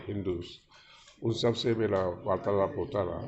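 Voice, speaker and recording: Noise is noticeable behind the speech. The speaker is a man. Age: 70s. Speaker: industrialist and spiritual speaker. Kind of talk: interview.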